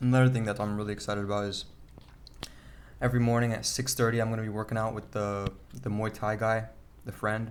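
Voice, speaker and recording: A man in a medium-pitched voice speaks at a very fast pace, monotone and flat, with long, frequent pauses. Audible room echo surrounds him. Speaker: vlogger. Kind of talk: casual video diary. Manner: stuttering, halting.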